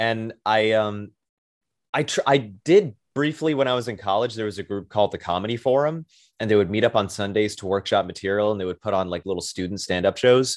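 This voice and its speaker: With a normal speaking voice, a man talks at a fairly quick pace, using a fairly low pitch and ordinary pitch variation against a quiet background. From Brooklyn, New York. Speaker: comedian. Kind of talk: casual chat.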